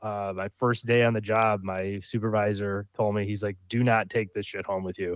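A man's fairly low voice at a moderate pace, monotone and flat, with hardly any pauses, on a very clean recording with a silent background. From upstate New York, Rochester area. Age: 30s. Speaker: former probation officer. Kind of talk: casual chat.

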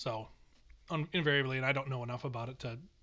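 Speaking at a very fast pace, a man delivers his words in a bright, sharp tone with fairly even intonation. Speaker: podcast host. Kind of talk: casual chat.

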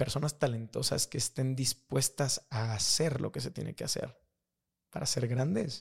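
A man with a Mexican accent talks in an animated tone with vocal fry, medium pitch and ordinary pitch variation. His pace is fairly slow, and the sound is dry and close with no echo. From Mexico. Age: 30s. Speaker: high school teacher and rugby referee. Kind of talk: casual chat.

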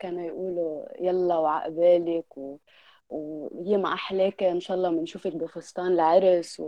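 A woman with a fairly low pitch speaks fairly slowly, her loudness swinging widely. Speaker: podcast guest. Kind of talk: casual chat. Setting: online call.

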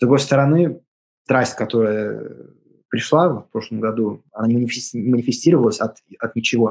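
Vocal fry runs through this voice, which has ordinary pitch variation and long, frequent pauses. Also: man, medium pitch for a man, moderate pace. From California, US. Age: 30s. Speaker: composer. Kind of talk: interview. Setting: remote call. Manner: halting.

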